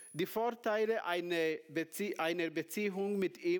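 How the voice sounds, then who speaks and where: A high-pitched man with a non-native accent talking at a very slow pace, with ordinary pitch variation. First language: not German (speaking German). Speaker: preacher. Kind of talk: sermon. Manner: halting.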